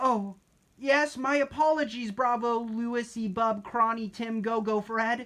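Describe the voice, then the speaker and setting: A female-sounding, put-on character voice, fairly high in pitch, moves at a fairly slow pace. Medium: read story. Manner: quiet, polite.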